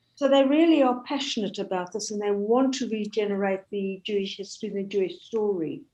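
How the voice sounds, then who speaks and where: A woman's voice with a dark, mellow tone comes through against a quiet background. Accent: English. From South Africa. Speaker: Holocaust educator and heritage charity chair. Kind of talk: talk with Q&A.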